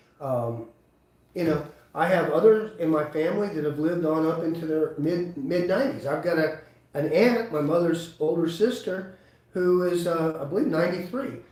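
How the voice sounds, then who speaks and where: A man talks in a high pitch with ordinary pitch variation. Room echo is audible around him. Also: moderate pace. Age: 60s. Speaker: chiropractor. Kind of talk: live webinar talk. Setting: live webinar.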